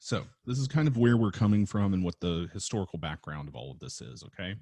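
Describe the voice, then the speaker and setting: In a dark, mellow tone, the voice races along at a very fast pace with very wide pitch swings. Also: man, very deep, low pitch for a man, big swings in loudness. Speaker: film teacher. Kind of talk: recorded lecture. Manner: halting, stuttering; casual, hesitant with many fillers.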